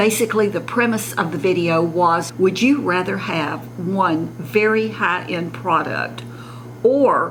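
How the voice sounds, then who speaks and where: With a Southern US accent, a woman speaks at a fairly low pitch and a fairly slow pace, her intonation lively, amid noticeable background noise and audible room echo. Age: 70s. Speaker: beauty vlogger. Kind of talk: casual makeup tutorial.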